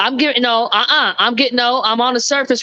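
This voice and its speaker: Animated in tone, a woman with an American accent speaks at a very fast pace. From Los Angeles, US West Coast. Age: 60s. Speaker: guest in online discussion. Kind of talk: testimony.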